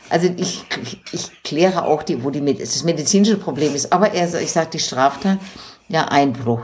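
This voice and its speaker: A woman with a very deep, low pitch and lively intonation at a moderate pace, over noticeable background noise. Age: 60s. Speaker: doctor in human rights committee. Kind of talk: casual chat. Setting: at home in her apartment.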